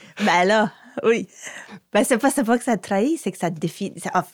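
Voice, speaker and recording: Recorded very cleanly against a silent background, a woman speaks with an Acadian accent. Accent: Baie-Sainte-Marie Acadian. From Baie-Sainte-Marie, Nova Scotia. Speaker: interviewer. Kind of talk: interview.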